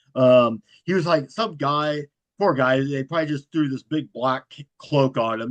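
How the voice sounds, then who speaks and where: A man with an American accent speaks at a fairly slow pace, his pitch fairly high. His intonation stays fairly even, and the sound is dry and close with no echo. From US Midwest, Fort Wayne, Indiana. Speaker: horror author and YouTube host. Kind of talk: podcast interview. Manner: monotone.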